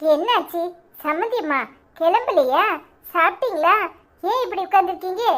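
A woman puts on a cartoonish character voice pitched extremely high. Her intonation is lively and her pace moderate. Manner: polite, soothing.

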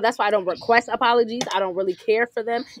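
A woman at a fairly high pitch, talking at a very fast pace. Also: dry, close sound with no echo. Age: 30s. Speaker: podcast co-host. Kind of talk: casual chat.

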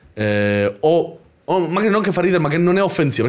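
Against a quiet background, a man talks at a very fast pace. His pitch swings very widely. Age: 30s. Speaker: YouTuber. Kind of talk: casual chat. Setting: livestream. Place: studio. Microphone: studio mic.

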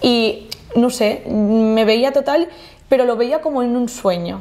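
A woman's voice with ordinary pitch variation. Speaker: podcast guest. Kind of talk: interview answer. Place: studio. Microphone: lapel.

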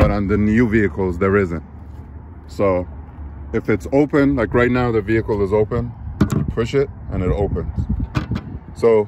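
A man's fairly low voice at a moderate pace, with long, frequent pauses, noticeable background noise and a dry sound with no echo. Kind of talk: casual tutorial. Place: street. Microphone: phone near.

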